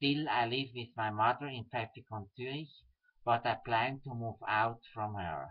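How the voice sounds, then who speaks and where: A man in a Swiss German accent, at a fairly slow pace with ordinary pitch variation, against a quiet background. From German-speaking Switzerland. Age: 30s. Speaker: political activist. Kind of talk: reading aloud. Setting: webcam recording. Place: home room. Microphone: webcam.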